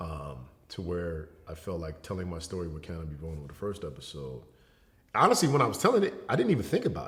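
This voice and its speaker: A man's very deep, low voice with vocal fry and lively intonation at a very fast pace, in audible room echo. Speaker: educator and entertainer, model. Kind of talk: casual interview conversation. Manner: casual, relaxed.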